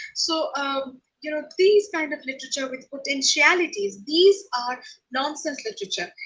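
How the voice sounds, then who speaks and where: In a Bengali accent, a woman talks at a moderate pace and high pitch with lively intonation and big swings in loudness. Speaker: professor. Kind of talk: lecture. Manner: halting, many fillers.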